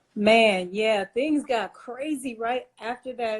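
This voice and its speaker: A fairly high-pitched female voice, very slow in pace, with fairly even intonation. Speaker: podcast host. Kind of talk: interview. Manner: loud.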